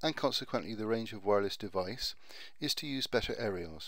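A man with a Bristol accent speaks at a fairly quick pace, his medium-pitched voice carrying lively intonation. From Bristol, UK. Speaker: IT networking retailer. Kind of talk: tutorial narration over slides.

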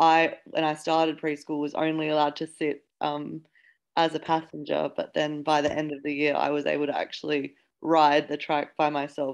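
Against a quiet background, a woman with an Australian accent speaks in a very deep, low voice with monotone, flat intonation. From Darwin, Northern Territory, Australia; Northern Territory, Australia. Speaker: panelist. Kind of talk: webinar panel. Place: home room. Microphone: video call.

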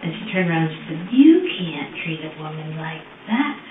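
Lively intonation and a moderate pace come through audible room echo and light background noise. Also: woman. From Woodstock, Ontario, Canada. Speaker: interviewed nurse confessing. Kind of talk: police interrogation answers, confession. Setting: police interview room. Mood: calm, matter-of-fact storytelling. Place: meeting room. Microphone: camera far.

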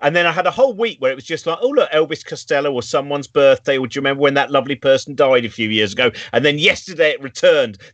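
A man at fairly high pitch, talking at a very fast pace with hardly any pauses, against a quiet background. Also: ordinary pitch variation. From England. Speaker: show host. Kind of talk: casual chat. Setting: video call. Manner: animated. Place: home room.

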